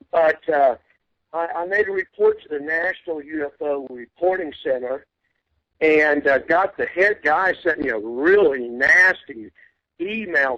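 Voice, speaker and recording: A man speaks with a Texan accent and a bright, sharp tone. The sound is dry and close, with no echo. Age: 60s. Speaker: UFO investigator. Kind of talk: interview.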